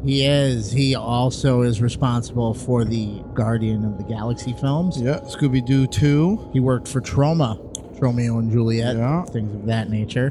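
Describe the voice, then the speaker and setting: Noticeable background noise sits behind a man speaking at a moderate pace and medium pitch. He shows ordinary pitch variation and hardly any pauses. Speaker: podcast co-host. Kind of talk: casual banter. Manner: joking, crude humor.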